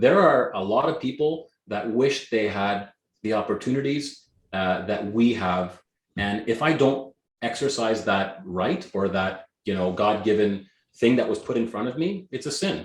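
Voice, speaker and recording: Energetic in tone, a man with a Canadian accent speaks at a medium pitch and a moderate pace. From Canada, Greek immigrant family. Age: 40s. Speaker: real estate agent. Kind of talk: interview.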